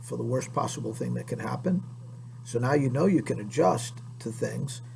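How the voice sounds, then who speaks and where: Someone with an American accent talks at a moderate pace, with audible room echo and noticeable background noise. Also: man. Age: 60s. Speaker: PE teacher. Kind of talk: lecture to students. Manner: conversational.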